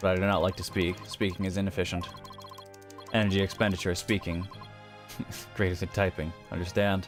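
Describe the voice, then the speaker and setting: A man puts on a robotic character voice with a very deep, low pitch at a fairly quick pace. He leaves long, frequent pauses while clear music plays in the background. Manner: flat, efficient.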